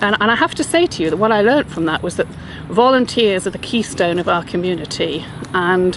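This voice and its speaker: Speaking at a moderate pace with an English accent, a woman uses lively intonation and a medium pitch against noticeable background noise. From England, southwest London. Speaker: non-profit chief executive. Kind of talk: video self-introduction.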